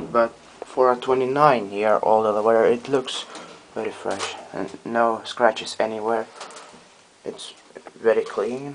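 A man at a fairly slow pace, with long, frequent pauses and light background noise. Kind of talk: casual commentary. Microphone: phone near.

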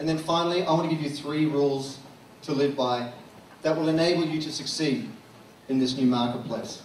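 A man with an Australian accent speaks at a fairly high pitch. Audible room echo and noticeable background noise come through. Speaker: social media consultant. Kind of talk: keynote talk. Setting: stage with audience.

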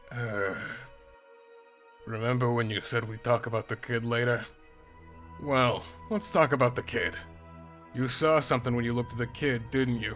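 A put-on character voice moves at a moderate pace with long, frequent pauses as clear music plays in the background. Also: man, medium pitch for a man. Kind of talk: comic dub. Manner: laid-back, terse.

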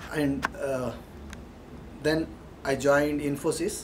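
The speaker has a Marathi Indian accent and a monotone, flat intonation. Light background noise is audible. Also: man. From Maharashtra, India. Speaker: engineering consultant. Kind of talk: alumni testimonial. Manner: hesitant, many fillers. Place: meeting room. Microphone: camera far.

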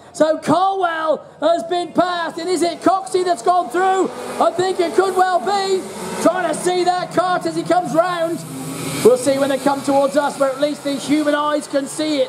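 The talking moves at a moderate pace over noticeable background noise. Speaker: race commentator. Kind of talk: commentary. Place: stadium.

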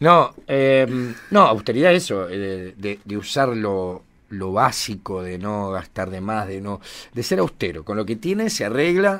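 A man speaks in a plain, everyday voice at a fairly low pitch, with lively intonation and a fairly slow pace. His loudness swings widely, and the recording is very clean with a silent background. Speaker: community radio host. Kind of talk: casual radio chat.

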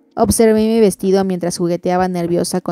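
This is plain reading aloud. The text is read through that way.

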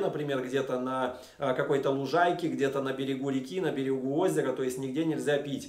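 A man at a fairly quick pace, fairly even in intonation, with audible room echo. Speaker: vlogger. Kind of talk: casual vlog talk to camera. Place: home room.

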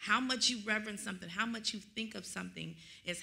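A woman speaks with an American accent and vocal fry. Her tone is bright and sharp, with ordinary pitch variation. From Dallas area, Texas; Texas. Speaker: minister; minister in discussion. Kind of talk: bible study discussion. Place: church. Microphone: studio mic.

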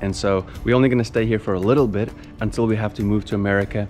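Faint music plays in the background as the speaker talks at a moderate pace with ordinary pitch variation. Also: man. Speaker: vlogger. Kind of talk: casual vlog chat. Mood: grateful, reflective. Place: garden. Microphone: phone near.

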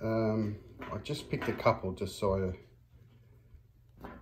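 A man's fairly low, somewhat breathy voice at a fairly slow pace. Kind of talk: casual vlog chat. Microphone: phone near.

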